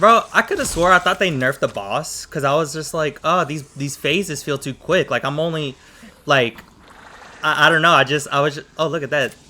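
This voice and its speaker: Amid noticeable background noise, the voice moves at a moderate pace with ordinary pitch variation. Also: man, fairly high pitch for a man. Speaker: gaming YouTuber. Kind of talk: gameplay commentary.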